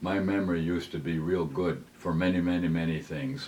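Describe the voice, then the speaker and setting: Audible room echo surrounds a man speaking at a very deep, low pitch and a moderate pace. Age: 90s. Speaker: retired serviceman. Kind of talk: personal reminiscence. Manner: halting, with fillers.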